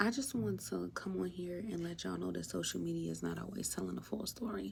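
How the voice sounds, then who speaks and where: A woman talks softly. Her pace is moderate. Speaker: vlogger. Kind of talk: casual talk to camera. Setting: at her workplace. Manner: animated; soft-spoken.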